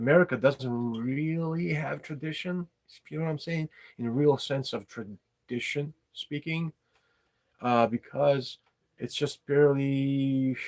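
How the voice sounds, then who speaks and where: Pitched fairly high, a man talks at a fairly slow pace with ordinary pitch variation, in a dry, close sound with no echo. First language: not English. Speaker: podcast host, writer and poet. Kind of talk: casual monologue livestream. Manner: halting, many fillers.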